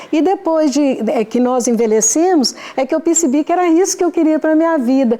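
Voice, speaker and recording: With noticeable background noise behind her, a woman with a high pitch talks at a moderate pace, keeping very even loudness and hardly any pauses. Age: 70s. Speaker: amateur theatre actress. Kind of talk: interview.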